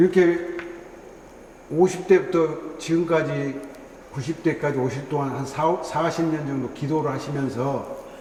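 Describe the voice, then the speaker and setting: A man at a very slow pace, fairly high in pitch, with fairly even intonation and noticeable background noise. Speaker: interviewer, former university president. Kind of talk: interview questions.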